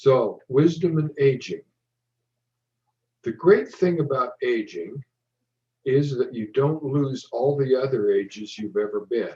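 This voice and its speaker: A man with a fairly high pitch and a somewhat breathy, dark, mellow tone speaks fairly slowly with lively intonation and long, frequent pauses. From US West, eastern Oregon. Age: 70s. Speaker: professor. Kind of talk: lecture.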